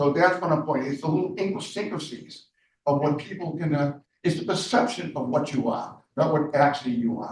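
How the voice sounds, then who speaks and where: At a fairly quick pace, a man speaks in a somewhat breathy, fairly high-pitched voice with ordinary pitch variation. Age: 70s. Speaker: candidate for county commissioner. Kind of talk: public meeting interview. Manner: repetitive, halting.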